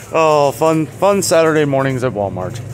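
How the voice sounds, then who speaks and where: There is light background noise behind a man's speech. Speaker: vlogger. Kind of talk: casual vlog commentary. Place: shop. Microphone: phone near.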